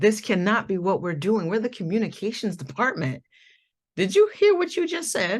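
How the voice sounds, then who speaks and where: Against a quiet background, a woman with an American accent speaks at a moderate pace in a somewhat breathy, medium-pitched voice, animated and full of very wide pitch swings. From Connecticut, US. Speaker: diversity and anti-oppression presenter. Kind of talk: workshop presentation. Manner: animated, conversational.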